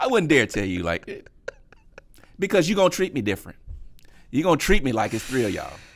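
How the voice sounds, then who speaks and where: Speaking very fast in a fairly high pitch, a man uses an animated tone, very wide pitch swings and vocal fry, broken by long, frequent pauses. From US South, Memphis. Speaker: comedian. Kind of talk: casual chat.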